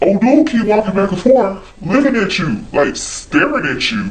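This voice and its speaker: A man's put-on character voice, high-pitched with lively intonation, at a moderate pace over light background noise. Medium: solo performance.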